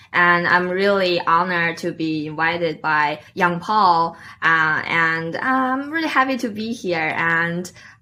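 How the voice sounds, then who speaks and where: A woman with a Chinese accent, fairly low pitch and lively intonation, against noticeable background noise. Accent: Mandarin Chinese. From northeast China, Liaoning province. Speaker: Toastmasters club president, marketing analyst. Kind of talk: interview podcast. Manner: hesitant, many fillers.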